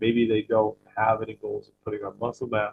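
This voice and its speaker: This man's voice is somewhat breathy, medium in pitch, and moderate in pace. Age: 40s. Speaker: fitness coach. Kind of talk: casual chat. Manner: conversational, many fillers.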